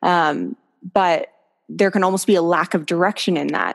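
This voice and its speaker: A normal speaking voice with a Canadian accent moves at a moderate pace with ordinary pitch variation on a very clean recording with a silent background. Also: woman. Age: 20s. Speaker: hand balancer. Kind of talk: interview. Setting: podcast.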